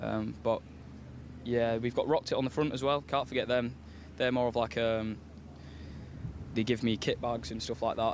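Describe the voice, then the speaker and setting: A man with a Yorkshire accent at medium pitch, ordinary pitch variation, a fairly quick pace and long, frequent pauses. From West Yorkshire, England. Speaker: racing driver. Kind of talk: paddock interview.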